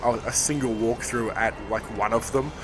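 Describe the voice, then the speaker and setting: A man talks with an Australian accent. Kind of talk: interview.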